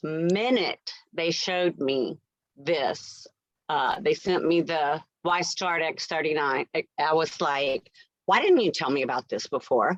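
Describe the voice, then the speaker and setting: A plain, everyday voice from a woman, fairly low in pitch with ordinary pitch variation, at a fairly slow pace in a dry, close sound with no echo. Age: 60s. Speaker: nurse. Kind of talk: testimony.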